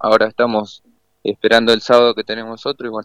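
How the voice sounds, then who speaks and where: Talking at a very fast pace, a man speaks with a medium pitch. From Argentina, Buenos Aires area (Solano). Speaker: professional footballer. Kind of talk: radio interview. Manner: halting, repeats words.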